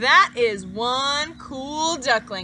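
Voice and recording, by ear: A woman puts on a character voice, speaking very slowly in a high, bright and sharp tone. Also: lively intonation.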